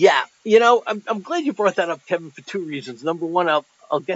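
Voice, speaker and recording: At a very fast pace, a man speaks with lively intonation and a high pitch. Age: 60s. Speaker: retired lawyer, bitcoin forum contributor. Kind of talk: casual interview. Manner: halting, repeats words.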